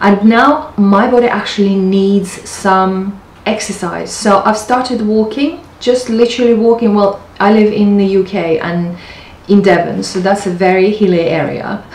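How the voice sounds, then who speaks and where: A woman talks at a fairly slow pace with ordinary pitch variation. Audible echo fills the room. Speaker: lifestyle vlogger. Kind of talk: casual vlog chat. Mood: warm, upbeat, light laughs. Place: home room. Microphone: camera far.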